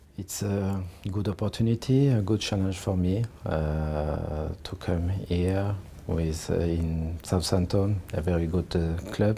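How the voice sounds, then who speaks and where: Very slow speech from a man with a very deep, low pitch and ordinary pitch variation. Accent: French. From France. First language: French. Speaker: football manager. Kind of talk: interview answer. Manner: hesitant, halting.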